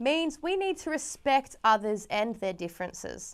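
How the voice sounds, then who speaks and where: An Australian-accented woman with a high pitch at a moderate pace, on a very clean recording with a silent background. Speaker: program presenter. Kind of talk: scripted presenting.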